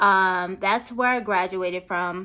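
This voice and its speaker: A woman speaks at a fairly slow pace with a bright, sharp, animated tone. The recording is very clean, with a silent background. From New Jersey, Morristown. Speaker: YouTuber. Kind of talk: casual chat.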